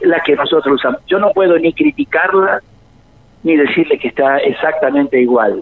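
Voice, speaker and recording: A man speaks with very even loudness. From Argentina, interior of Córdoba province. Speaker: biochemist researcher. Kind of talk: radio interview. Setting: phone call.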